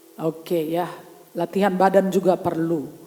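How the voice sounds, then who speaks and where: Noticeable background noise runs behind a woman speaking in an animated tone. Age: 60s. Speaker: pastor. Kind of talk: sermon. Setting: church.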